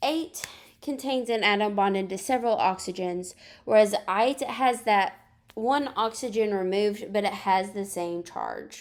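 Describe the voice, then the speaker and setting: A woman with an unremarkable speaking voice talks at a fairly slow pace and a fairly high pitch, with ordinary pitch variation. The recording is very clean, with a silent background. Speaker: high school chemistry teacher. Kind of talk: recorded lesson.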